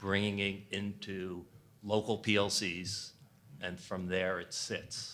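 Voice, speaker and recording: In a New York accent, a man speaks at a very slow pace with a fairly low pitch, a bright, sharp tone and monotone, flat intonation. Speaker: infrastructure business executive. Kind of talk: panel discussion.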